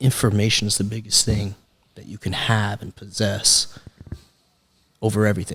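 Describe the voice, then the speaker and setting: A man with an American accent talks at a moderate pace in a fairly low pitch, with vocal fry and monotone, flat intonation. His loudness swings widely, and he takes long, frequent pauses. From Texas, Springtown near Fort Worth. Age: 20s. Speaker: sales director. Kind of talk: casual interview chat.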